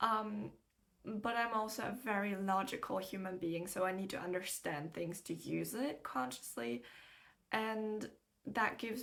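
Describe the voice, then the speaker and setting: A woman's medium-pitched voice with vocal fry, lively intonation and a moderate pace. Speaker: spiritual card reader. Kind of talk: tarot-style channeled reading. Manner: casual, filler-heavy rambling.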